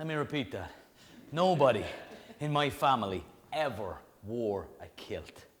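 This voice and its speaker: The speaker, with an Irish accent, talks at a fairly slow pace with long, frequent pauses. The intonation is lively, and the loudness swings widely. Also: man, fairly high pitch for a man. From Ireland. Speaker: storyteller, comedian. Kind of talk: live one-man comedy show. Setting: live audience, stage. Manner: animated, comic.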